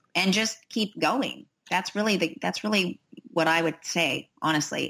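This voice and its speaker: Here a woman talks at a moderate pace with ordinary pitch variation. The recording is very clean, with a silent background. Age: 50s. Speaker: fitness professional and figure competitor. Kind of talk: interview. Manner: animated.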